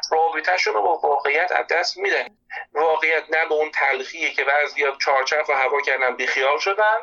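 This man has an unremarkable speaking voice, fairly high in pitch, with ordinary pitch variation, a moderate pace and very even loudness. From Iran. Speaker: psychology expert. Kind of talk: interview conversation. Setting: phone call.

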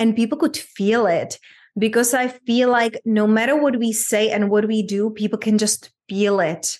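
A woman in a Czech accent speaks fairly slowly at a fairly high pitch. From Czech Republic, small town. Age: 30s. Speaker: abundance coach. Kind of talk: interview conversation.

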